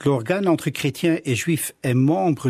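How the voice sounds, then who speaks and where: Speaking fairly slowly with a Flemish accent, a man uses lively intonation in a somewhat breathy voice, recorded with a dry, close sound and no echo. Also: very clean recording, silent background. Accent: Dutch (Flemish) accent in French. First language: Dutch (speaking French). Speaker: pastor. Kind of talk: radio interview.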